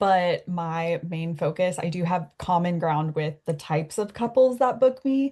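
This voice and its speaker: In an American accent, a woman talks at a fairly slow pace. Her fairly low pitch sounds somewhat breathy. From US and Canada. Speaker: wedding photographer. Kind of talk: interview conversation. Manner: chatty.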